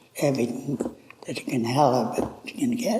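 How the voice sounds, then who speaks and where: Noticeable background noise under a man's voice. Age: old. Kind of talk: interview answer, personal life story.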